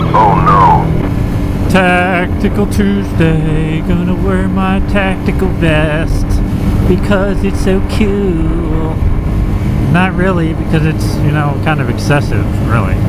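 A man speaks at a very slow pace. The sound is dry with no echo, and loud background noise runs underneath. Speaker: motorcycle vlogger. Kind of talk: angry rant over road footage, ranting with swearing and sarcastic commentary. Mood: sarcastic, irritated at traffic. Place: motorbike. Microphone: helmet.

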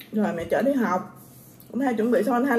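Light background noise runs under a woman's voice. She speaks at a fairly quick pace with ordinary pitch variation. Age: 20s. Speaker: vlogger. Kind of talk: casual eating vlog. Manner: animated. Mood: playful, mock complaint. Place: home room. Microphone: phone near.

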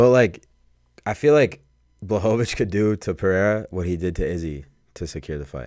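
A man with an American accent and a fairly low voice talks at a moderate pace with long, frequent pauses and big swings in loudness, in a dry sound with no echo and a quiet background. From Chicago suburbs. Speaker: podcast co-host. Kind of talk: casual chat. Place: studio. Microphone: studio mic.

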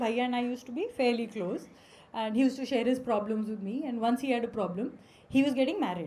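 A woman's high-pitched voice with a dark, mellow tone, an Indian accent and ordinary pitch variation. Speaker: stand-up comedian. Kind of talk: stand-up comedy. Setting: stage with audience. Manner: animated, cheeky; fast, punchy Hinglish delivery. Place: stage. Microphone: handheld.

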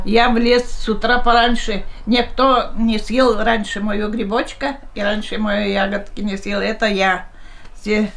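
A woman speaks at a fairly high pitch with flat, monotone intonation. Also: fairly slow pace. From Russia. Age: 80s+. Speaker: elderly interviewee. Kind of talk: interview answer.

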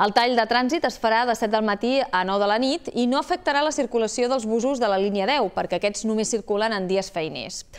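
Over a quiet background, a woman with a fairly high pitch talks at a fairly quick pace with ordinary pitch variation and hardly any pauses. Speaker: news anchor. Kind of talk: news reading. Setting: studio. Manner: formal. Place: studio. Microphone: lapel.

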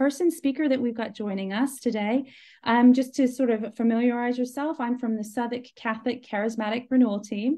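Over a quiet background, a woman with a high pitch and a dark, mellow tone talks at a fairly quick pace with hardly any pauses and fairly even intonation. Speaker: charismatic renewal team member. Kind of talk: live stream interview host talk. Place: home room. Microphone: video call.

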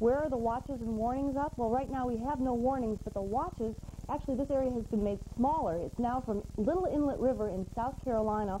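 Over light background noise, a woman speaks fairly quickly in an ordinary speaking voice, fairly high in pitch, with ordinary pitch variation. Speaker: weather forecaster. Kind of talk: TV weather forecast. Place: studio. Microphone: lapel.

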